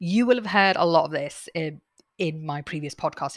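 A woman speaks with a British accent at a very deep, low pitch. The sound is dry and close with no echo, on a very clean recording with a silent background. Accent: British English, noticeable. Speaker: podcast host and author reading own book. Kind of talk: reading aloud from own book with casual asides. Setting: home desk with laptop and head mic. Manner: calm, soothing; unedited, natural with fillers.

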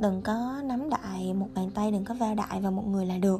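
A woman talks at a moderate pace, her voice carrying audible room echo and noticeable background noise. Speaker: podcast host. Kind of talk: personal monologue. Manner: casual chatty.

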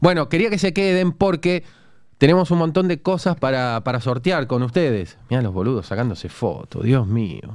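An animated man with a Rioplatense accent, fairly high-pitched, swinging widely in pitch at a moderate pace. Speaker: livestream podcast host. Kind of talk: casual chat.

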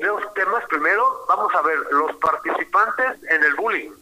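A man's voice against noticeable background noise. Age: 60s. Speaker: therapist. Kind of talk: radio interview.

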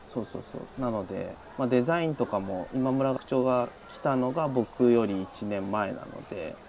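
There is noticeable background noise as a man speaks at a medium pitch. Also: ordinary pitch variation, moderate pace. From Japan, Shizuoka. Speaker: art lecturer. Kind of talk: casual interview.

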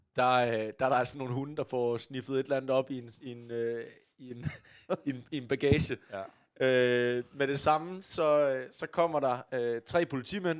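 An unremarkable speaking voice from a man, medium in pitch, at a fairly slow pace with big swings in loudness. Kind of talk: casual podcast banter, then play-by-play match commentary in the game segment. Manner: excitable, shouting, rising to a roar at the goal.

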